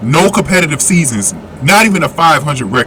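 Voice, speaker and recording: Noticeable background noise behind a man with a fairly high pitch, lively intonation and a moderate pace. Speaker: basketball commentary youtuber. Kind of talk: opinion commentary. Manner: loud.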